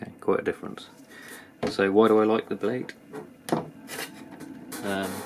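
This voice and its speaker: The speech goes at a very slow pace with long, frequent pauses, against noticeable background noise. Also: man. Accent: British. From UK. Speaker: knife reviewer, YouTuber. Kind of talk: product review. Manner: hesitant, many fillers.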